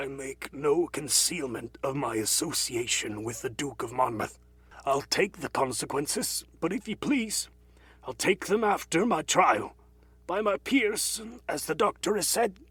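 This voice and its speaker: A man's raspy put-on character voice, fairly high in pitch, with very wide pitch swings at a moderate pace. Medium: read story.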